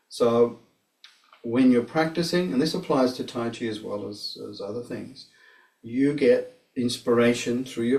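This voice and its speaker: A man speaks at a moderate pace. His medium pitch shows ordinary variation. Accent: Australian. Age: 60s. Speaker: tai chi teacher. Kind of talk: personal testimony. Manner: halting.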